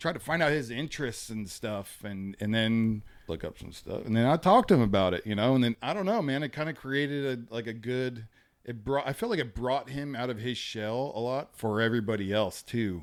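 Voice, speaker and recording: A man at a medium pitch speaks at a fairly quick pace with ordinary pitch variation, recorded very cleanly against a silent background. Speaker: podcast co-host. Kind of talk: casual chat. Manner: loud.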